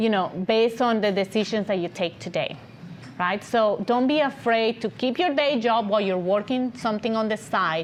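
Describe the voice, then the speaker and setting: A woman's fairly high, animated voice with lively intonation, a fairly quick pace and a non-native accent. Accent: foreign accent, reduced from thicker. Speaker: agency founder and CEO. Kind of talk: podcast interview.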